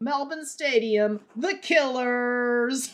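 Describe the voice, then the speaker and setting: A female-sounding put-on character voice, high-pitched, is raised and projected. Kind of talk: broadcast announcer.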